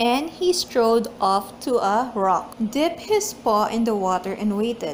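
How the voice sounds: A woman with a fairly high pitch speaks slowly with lively intonation. Room echo is audible around her.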